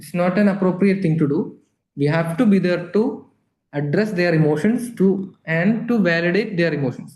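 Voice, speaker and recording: Audible room echo surrounds a man with a high pitch who speaks at a moderate pace with ordinary pitch variation. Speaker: palliative care nurse educator. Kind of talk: lecture.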